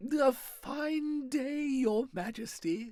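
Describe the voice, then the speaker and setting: The female-sounding voice is a put-on character voice pitched high. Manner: timid, cowed.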